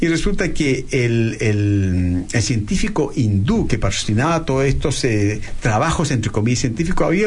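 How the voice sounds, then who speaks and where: At a moderate pace, the speech carries audible room echo and noticeable background noise. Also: man. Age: 50s. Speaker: plastic surgeon. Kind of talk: interview.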